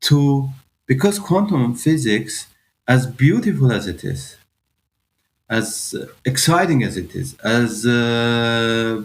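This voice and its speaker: Speaking with an Iranian accent at a medium pitch, a man goes at a very slow pace with lively intonation and long, frequent pauses. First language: Farsi. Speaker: physicist. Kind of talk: podcast interview. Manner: halting, many fillers.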